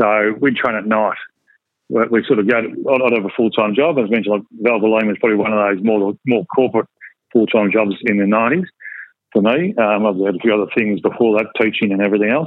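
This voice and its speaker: Fairly quick and fairly low-pitched, a man with an Australian accent talks with ordinary pitch variation. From Geelong, Victoria, Australia. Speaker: retired Australian rules footballer. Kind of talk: casual interview.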